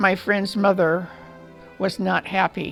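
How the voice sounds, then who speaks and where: Over background music, a woman with an American accent speaks at a medium pitch, fairly slowly, with fairly even intonation. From Illinois, US Midwest. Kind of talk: oral history interview answer.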